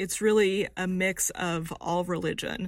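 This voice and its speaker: Heard on a very clean recording with a silent background, an unremarkable speaking voice with an American accent keeps a fairly even intonation. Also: woman. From rural Texas. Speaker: survey researcher. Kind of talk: interview.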